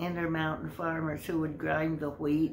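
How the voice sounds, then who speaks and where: With noticeable background noise behind her, a woman talks at a very deep, low pitch with fairly even intonation. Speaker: interviewee. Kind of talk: interview answer, storytelling. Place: home room. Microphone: phone near.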